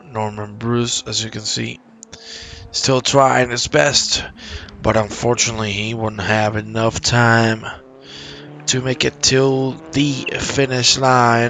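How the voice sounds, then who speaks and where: A man speaks quietly at a very slow pace, with long, frequent pauses and noticeable background noise. His pitch is medium with ordinary pitch variation. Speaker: sim racing commentator. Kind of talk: live commentary. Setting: home. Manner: quiet, low energy; hesitant, many fillers.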